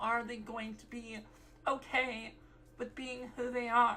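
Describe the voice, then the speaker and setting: Against noticeable background noise, a woman talks at a fairly high pitch and a fairly slow pace. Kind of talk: casual talk to camera. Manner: rambly.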